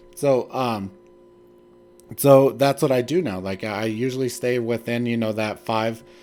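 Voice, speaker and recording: Music plays in the background as a man speaks at a medium pitch. His pace is fairly slow, with ordinary pitch variation. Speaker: stock trading streamer. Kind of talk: casual livestream chat. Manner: filler-heavy, conversational.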